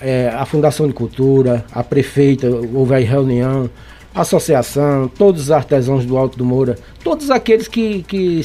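A fairly high-pitched man's voice with a dark, mellow tone, lively intonation and a moderate pace. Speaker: clay artisan. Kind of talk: radio interview.

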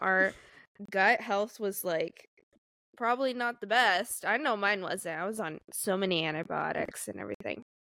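Recorded very cleanly against a silent background, a woman talks at a moderate pace and medium pitch, with ordinary pitch variation and a bright, sharp tone. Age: 20s. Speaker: podcast host. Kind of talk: casual chat.

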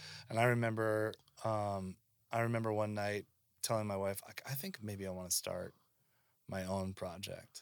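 In an ordinary speaking voice, a man with an American accent talks at a moderate pace and medium pitch. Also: very clean recording, silent background. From Seattle, US West Coast. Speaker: musician and songwriter. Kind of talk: casual chat.

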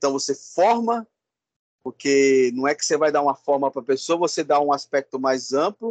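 A man with a normal speaking voice talks at a moderate pace and fairly high pitch, his intonation lively. The recording is dry and close with no echo. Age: 50s. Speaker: educator and project coordinator. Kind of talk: interview. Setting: video call.

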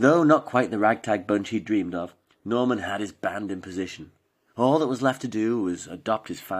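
Plain reading aloud with lively intonation. The background is quiet.

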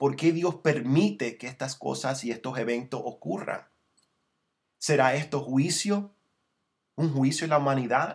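With long, frequent pauses, a man talks at a fairly slow pace in a somewhat breathy, fairly high voice with ordinary pitch variation. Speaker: preacher. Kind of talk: sermon. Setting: broadcast or online transmission. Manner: earnest, exhortative pastoral delivery, teaching verse by verse; frequent self-repeats and restarts, slightly halting.

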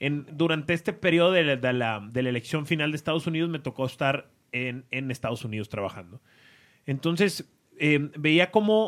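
On a very clean recording with a silent background, an ordinary speaking voice keeps a moderate pace and lively intonation. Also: man. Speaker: podcast host. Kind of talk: casual chat.

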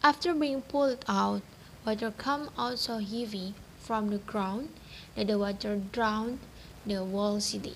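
At a fairly slow pace, a woman talks in a somewhat breathy, fairly high voice with ordinary pitch variation. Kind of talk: folktale narration. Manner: storytelling cadence, measured and even.

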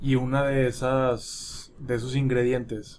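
There is audible room echo as a man talks very slowly at a medium pitch. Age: 20s. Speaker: podcast co-host. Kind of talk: casual chat.

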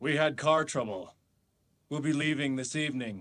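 The pace here is moderate. It's delivered in a put-on character voice. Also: man, fairly high pitch for a man. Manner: sinister, suspicious.

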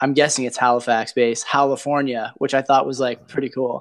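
A man with a Canadian accent speaks in a monotone, flat intonation. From Hamilton, Ontario. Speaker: podcast host. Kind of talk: casual podcast chat.

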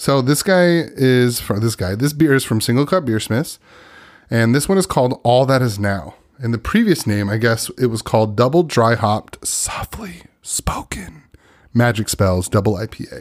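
A man speaks at a moderate pace and medium pitch with lively intonation and an animated tone. The recording is very clean, with a silent background. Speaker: podcast host. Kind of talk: casual chat. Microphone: new equipment.

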